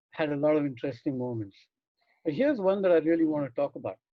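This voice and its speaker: The speaker is a man. His pitch is fairly high. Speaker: experiential educator and trainer. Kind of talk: online masterclass lecture. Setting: online video meeting.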